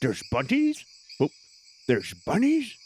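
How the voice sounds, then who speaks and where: A man puts on a character voice, high-pitched and delivered at a moderate pace. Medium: actual play. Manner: blunt, earnest, formal short phrases.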